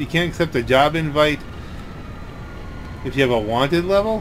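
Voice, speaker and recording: Over noticeable background noise, a man speaks at a moderate pace with a fairly high pitch and lively intonation. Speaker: gaming commentator. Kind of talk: casual let's play commentary.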